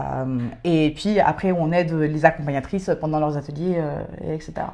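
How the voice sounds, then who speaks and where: At a moderate pace, a woman speaks with a very deep, low pitch, a dark, mellow tone, and fairly even intonation. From France and Britain. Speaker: podcast co-host, civic service volunteer. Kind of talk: casual chat. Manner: hesitant, many fillers.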